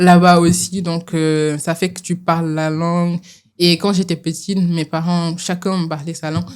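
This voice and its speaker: A woman speaks in a fairly low, flat monotone at a fairly slow pace. The recording is very clean, with a silent background. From Senegal (Kolda, Tambacounda). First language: Pulaar (Fula) (speaking French). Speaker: doctoral student in acoustics. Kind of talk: podcast interview. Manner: hesitant, with fillers.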